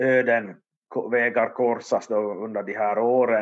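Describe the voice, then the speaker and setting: Monotone, flat intonation runs through this man's medium-pitched speech. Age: 50s. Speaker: history author and expert. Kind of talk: casual chat. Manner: halting, repeating words.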